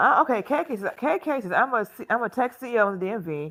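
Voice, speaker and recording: A woman speaks at a moderate pace with an American accent and lively intonation, an ordinary speaking voice. The recording is very clean with a silent background. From Alabama, US South. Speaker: fashion content creator and live streamer. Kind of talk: casual live stream chat reading comments. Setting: live stream at home on tablet.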